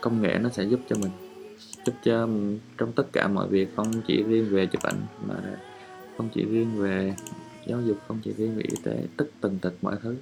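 Music in the background behind a relaxed tone at a moderate pace, broken by long, frequent pauses. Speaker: podcast host and travel photographer. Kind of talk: casual monologue while editing photos. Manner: relaxed, confiding.

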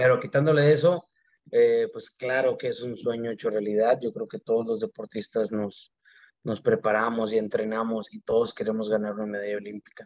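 Speaking at a moderate pace, a man lets his loudness swing widely. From Mexico, Mexicali, Baja California. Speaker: Olympic archer. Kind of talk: interview. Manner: halting, many fillers and repetitions.

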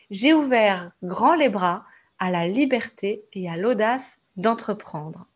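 Her fairly high voice moves with lively intonation and big swings in loudness at a very slow pace. The woman is recorded very cleanly against a silent background. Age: 30s. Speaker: podcast host, entrepreneurship coach. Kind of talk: monologue podcast intro.

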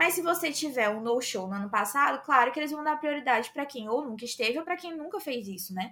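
Her high-pitched, raised voice projects with a bright, sharp tone, lively intonation and a very fast pace. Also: hardly any pauses. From Brazil, Northeast. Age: 20s. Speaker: film content creator. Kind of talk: casual chat.

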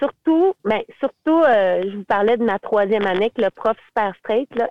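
A woman with a Quebec accent and lively intonation. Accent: Québécois French. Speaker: teacher and singer-songwriter. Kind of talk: casual interview.

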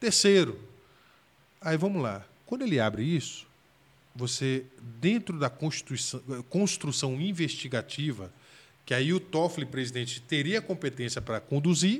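A man with a fairly high voice speaks at a moderate pace, his pitch swinging very widely, with long, frequent pauses. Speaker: federal public defender. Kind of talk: casual interview chat.

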